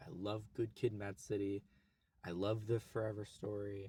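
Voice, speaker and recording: With an American accent, a man speaks in a somewhat breathy way. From US, Oklahoma. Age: 20s. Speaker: YouTuber. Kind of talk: casual vlog monologue. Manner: casual, halting with restarts.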